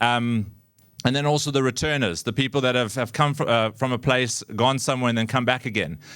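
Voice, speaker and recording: A man with a South African accent speaks at a fairly quick pace and a medium pitch. His intonation is fairly even, his loudness very even, and the recording very clean with a silent background. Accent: South African twang. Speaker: community charity worker, former drama teacher. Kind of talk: public talk. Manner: halting, many fillers and repetitions.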